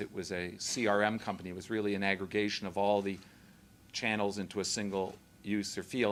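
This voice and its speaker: A man speaks with a Canadian accent. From Canada. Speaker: company founder and CEO. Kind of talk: speech at a public event. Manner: halting, with fillers.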